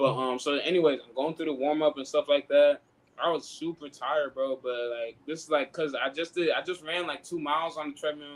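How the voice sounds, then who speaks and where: A man with an ordinary speaking voice and an American accent talks at a fairly quick pace, his fairly high pitch evenly intoned while his loudness swings widely. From Sacramento, California. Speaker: pro basketball player. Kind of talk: casual podcast chat.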